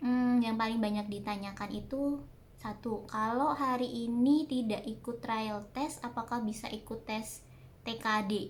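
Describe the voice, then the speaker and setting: With audible room echo, a woman speaks fairly slowly in a fairly high, somewhat breathy voice with fairly even intonation. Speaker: vlogger. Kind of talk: casual Q&A vlog. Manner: hesitant, many fillers. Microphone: no external microphone, quiet audio.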